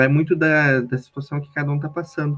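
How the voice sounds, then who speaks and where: A man with a fairly high pitch speaks in a strong southern Brazilian accent. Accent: strong southern Brazilian countryside. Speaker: youth organization national leader. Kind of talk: podcast interview.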